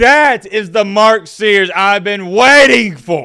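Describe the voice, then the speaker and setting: In a put-on character voice, a man speaks at a high pitch and a very slow pace. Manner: excited, enthusiastic.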